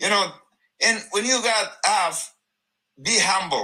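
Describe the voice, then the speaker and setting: A man's raised, projected voice, high-pitched with a bright, sharp tone, ordinary pitch variation and a very slow pace. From Afghanistan. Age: 50s. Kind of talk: testimony. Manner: loud; halting.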